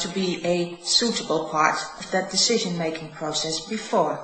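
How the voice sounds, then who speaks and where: In a Dutch accent, a woman speaks at a moderate pace with lively intonation. Noticeable background noise and audible room echo are present. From Netherlands. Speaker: spiritual teacher. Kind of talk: reading aloud.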